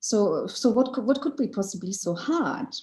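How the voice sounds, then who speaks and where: A woman's somewhat breathy voice, dark and mellow in tone, with lively intonation at a moderate pace. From Germany, Turkish immigrant family. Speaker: author and anthropologist. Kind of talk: interview. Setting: video call. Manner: halting.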